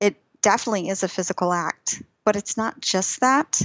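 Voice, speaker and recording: A woman speaks in a normal speaking voice with an American accent. Her pitch is medium, her pace moderate, with ordinary pitch variation. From US Texas. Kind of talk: casual interview chat.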